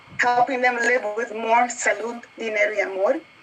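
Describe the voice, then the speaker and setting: A woman speaks at a moderate pace, her pitch high for a woman. Noticeable background noise runs underneath. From New York City. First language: Spanish. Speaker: marketing executive panelist. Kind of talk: panel discussion introduction.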